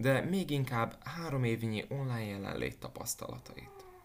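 Here a man has an ordinary speaking voice at a medium pitch. He talks at a fairly slow pace. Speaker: fitness instructor. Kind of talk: scripted narration.

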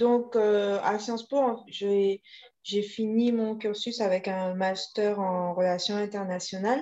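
At a very slow pace, a woman with medium pitch talks in a dark, mellow tone with fairly even intonation. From Guadeloupe. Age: 30s. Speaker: vegan bakery founder. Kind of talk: interview.

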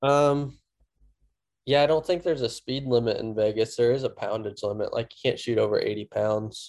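Here is a man with a medium-pitched voice. He talks with a Midwestern American accent. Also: ordinary pitch variation, moderate pace. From US Midwest, central Missouri. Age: 20s. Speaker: competitive archer and bow hunter. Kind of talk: casual interview.

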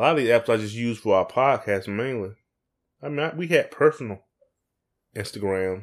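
Lively intonation marks this man's Southern US accent at a medium pitch. He talks at a fairly quick pace in a very clean recording with a silent background. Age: 40s. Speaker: podcast co-host. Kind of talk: casual chat. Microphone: USB microphone, sound issues.

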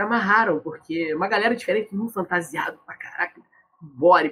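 Fairly quick in pace, a man speaks with a high pitch. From Brazil, Rio de Janeiro. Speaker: cultural organizer and carnival musician. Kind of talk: casual interview chat.

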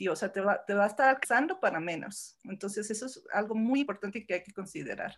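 A woman talks at a very fast pace with hardly any pauses and ordinary pitch variation. The recording is very clean, with a silent background. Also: medium pitch for a woman, big swings in loudness. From born in Los Angeles, moved to Mexico as teen. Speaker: entrepreneur in gold investment. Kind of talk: podcast interview. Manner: hesitant, many fillers.

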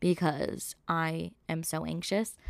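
A woman with an American accent and an animated tone. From New York. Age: 20s. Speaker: podcast host. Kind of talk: casual monologue.

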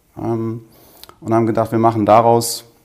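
The voice belongs to a man speaking at medium pitch. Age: 40s. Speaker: business owner and coach. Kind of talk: interview.

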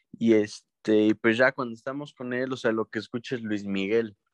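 A man with a Mexican accent speaks at a fairly slow pace and fairly even intonation, the sound dry and close with no echo against a quiet background. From Mexico, rural ranch. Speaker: podcast co-host. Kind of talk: casual chat.

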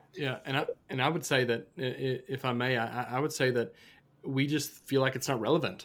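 A man with a plain, everyday voice and an American accent speaks fairly quickly at a medium pitch with fairly even intonation. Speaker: student ministry pastor. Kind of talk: casual podcast chat about faith.

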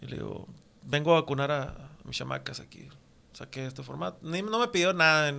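A man talks at a moderate pace, and his loudness swings widely. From northwestern Mexico, Mexicali and Puerto Peñasco. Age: 40s. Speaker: tattoo artist. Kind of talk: casual chat.

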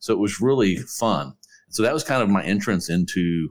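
The background is silent, and the recording is very clean. With ordinary pitch variation, a man talks at a moderate pace. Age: 50s. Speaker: lawyer. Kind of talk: interview.

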